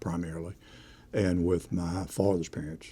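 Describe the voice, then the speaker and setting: Here a man with an East Tennessee accent speaks at a fairly slow pace. His very deep, low pitch carries a dark, mellow tone. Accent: East Tennessee Southern US. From East Tennessee, Knoxville area. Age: 70s. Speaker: retired district attorney. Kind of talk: oral history interview.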